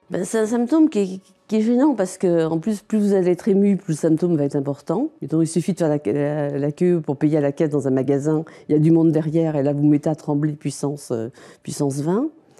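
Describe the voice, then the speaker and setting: A woman's very deep, low voice with a dark, mellow tone, ordinary pitch variation and a fairly quick pace. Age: 60s. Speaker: Parkinson's patient. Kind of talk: testimony. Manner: hesitant.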